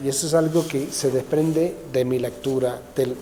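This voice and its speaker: Over noticeable background noise, a man with a slight Argentine accent talks at a medium pitch with fairly even intonation. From England. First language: English (speaking Spanish). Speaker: author, papal biographer. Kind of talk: interview. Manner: hesitant, many fillers and restarts.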